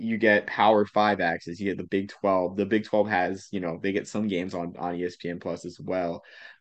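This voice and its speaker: A normal speaking voice from a man with an American accent, fairly low in pitch, fairly even in intonation, at a moderate pace over a quiet background. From Massachusetts. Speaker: podcast host. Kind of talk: casual chat.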